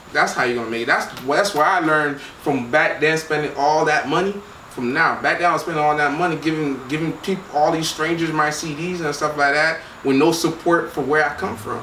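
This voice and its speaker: A man's fairly high, fairly quick voice with fairly even intonation, audible room echo and noticeable background noise. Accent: Miami. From Miami, Florida, Haitian family. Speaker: record label co-founder. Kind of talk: casual interview.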